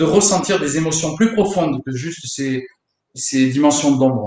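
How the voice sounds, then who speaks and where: A man with an unremarkable speaking voice talks at a moderate pace. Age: 30s. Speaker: guitar teacher. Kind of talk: casual chat. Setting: online live stream.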